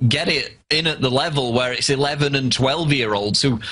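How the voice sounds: Moving at a moderate pace, a man with a fairly high voice speaks in a bright, sharp tone.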